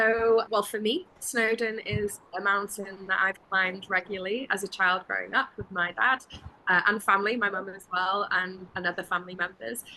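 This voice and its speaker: Her bright, sharp tone sits at a medium pitch, and this woman keeps a moderate pace with fairly even intonation. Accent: Welsh. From Wales. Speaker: travel interview guest, full-time traveler. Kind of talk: casual interview chat.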